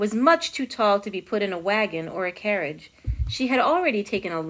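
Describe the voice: Lively intonation in plain reading aloud.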